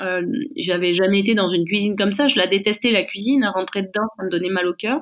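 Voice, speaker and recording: A woman speaks at a very fast pace, her pitch medium with ordinary variation. Her loudness stays very even throughout. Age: 40s. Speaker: chef and business owner. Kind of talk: interview. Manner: halting.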